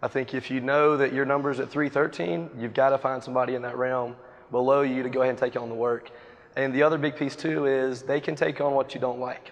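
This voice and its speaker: Over noticeable background noise, a speaker with an American accent talks with fairly even intonation. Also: man, medium pitch for a man. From US South, Wilmington, North Carolina. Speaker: real estate agent. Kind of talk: interview on stage. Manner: fast.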